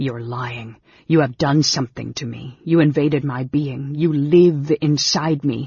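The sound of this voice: The put-on character voice is quiet and hissing, with a husky, rough edge, vocal fry, a slightly mellow tone, fairly even intonation and a fairly slow pace.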